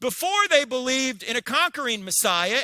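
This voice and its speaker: With an American accent, a man speaks in a raised, projected voice, his tone animated, bright and sharp, his pitch swinging very widely, all in a dry, close sound with no echo. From New Jersey. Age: 60s. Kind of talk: public lecture.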